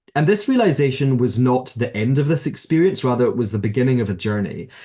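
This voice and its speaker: This speaker has a Glasgow accent, a dark, mellow tone and a somewhat breathy sound. The delivery is fairly quick, with lively intonation. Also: man. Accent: Scottish (Glasgow). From Scotland, Glasgow. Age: 30s. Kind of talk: interview conversation.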